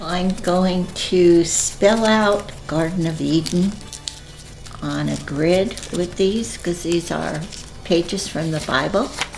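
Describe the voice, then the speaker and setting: A woman with a fairly low pitch speaks at a very slow pace in fairly even intonation while music plays in the background. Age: 80s+. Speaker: lint artist. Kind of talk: documentary interview, talking while working.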